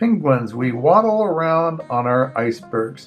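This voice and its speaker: A man speaks with lively intonation at a fairly high pitch. Music plays in the background. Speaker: grandfather reading children's books aloud. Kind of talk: children's picture book reading. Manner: casual, friendly, chatty.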